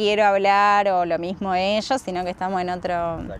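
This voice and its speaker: A woman with an ordinary speaking voice talks at a medium pitch and a fairly quick pace. Her intonation stays fairly even. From Argentina, Rosario (born in Salta). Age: 20s. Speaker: traveller, tour boat host. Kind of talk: casual interview. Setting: outdoors.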